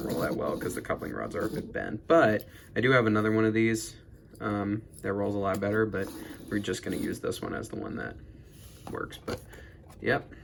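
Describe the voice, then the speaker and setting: A man with a fairly low pitch leaves long, frequent pauses against noticeable background noise. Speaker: toy train collector YouTuber. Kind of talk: casual show-and-tell unboxing. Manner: halting, many fillers.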